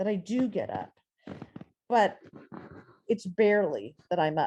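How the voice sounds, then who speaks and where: A woman's medium-pitched voice with a dark, mellow tone at a moderate pace. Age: 60s. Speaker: poet and writer, featured reader. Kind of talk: reading aloud own journal writing. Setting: video call.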